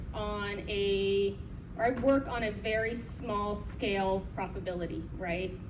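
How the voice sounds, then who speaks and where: Noticeable background noise accompanies a woman speaking at a fairly slow pace. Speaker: conference presenter. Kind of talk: conference presentation. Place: hall. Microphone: camera far.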